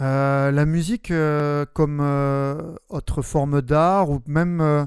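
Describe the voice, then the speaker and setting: On a very clean recording with a silent background, a man speaks very slowly at a fairly high pitch, with fairly even intonation and very even loudness. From southwest France, Albi near Toulouse. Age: 30s. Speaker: metal band singer and primary school teacher. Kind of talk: interview. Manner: hesitant, many fillers.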